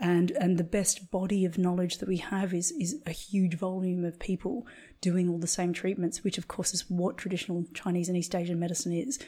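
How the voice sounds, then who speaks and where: A woman speaks at a medium pitch with a dark, mellow tone and a somewhat breathy quality. The recording is very clean, with a silent background. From Australia. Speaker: acupuncturist and Chinese medicine practitioner. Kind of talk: interview conversation.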